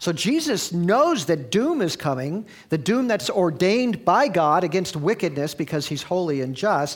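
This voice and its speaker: Here is a man with a plain, everyday voice. He talks at a moderate pace with lively intonation. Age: 60s. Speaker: pastor. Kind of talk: sermon. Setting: church.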